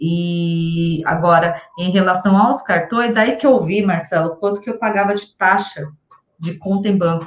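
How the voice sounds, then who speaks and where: Somewhat breathy and at medium pitch, a woman speaks at a fairly slow pace. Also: ordinary pitch variation. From São Paulo, Brazil. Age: 40s. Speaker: salesperson, course student. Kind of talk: interview testimony.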